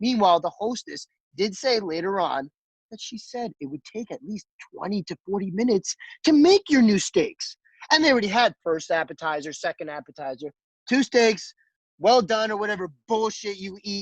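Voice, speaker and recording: A man talks at a moderate pace in a high voice with lively intonation and big swings in loudness. The sound is dry and close, with no echo. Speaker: restaurant chef.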